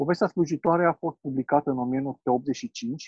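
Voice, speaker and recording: A man's dark, mellow tone at a fairly slow pace, dry and close with no echo, over a quiet background. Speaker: book reviewer. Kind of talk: book presentation. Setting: video call.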